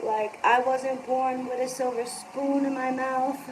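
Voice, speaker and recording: At a very slow pace, a woman with an American accent speaks in a high pitch, with audible room echo. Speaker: live streamer. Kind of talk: casual live stream monologue. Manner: rambling with many fillers.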